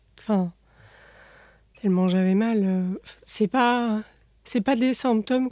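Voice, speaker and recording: At a very slow pace, a woman speaks with a fairly high pitch in a dark, mellow tone. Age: 20s. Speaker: patient with chronic bowel disease. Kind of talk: testimony. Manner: halting.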